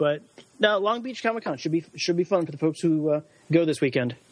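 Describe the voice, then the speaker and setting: An ordinary speaking voice from a man, fairly high in pitch, over a quiet background. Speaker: guest. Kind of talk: casual chat.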